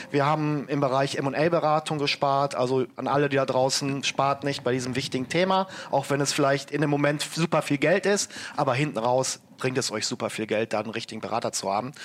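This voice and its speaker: Speaking at a fairly quick pace, a man uses an ordinary speaking voice pitched fairly high, its pitch varying in an ordinary way. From Germany, Ruhr area (Bochum). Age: 30s. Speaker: entrepreneur. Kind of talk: interview.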